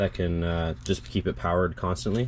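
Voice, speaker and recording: Speech at a moderate pace over light background noise. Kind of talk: tutorial. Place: garden.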